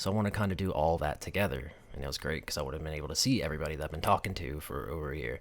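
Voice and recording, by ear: Speaking at a very fast pace, a man with an American accent has an extremely low pitch. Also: ordinary pitch variation.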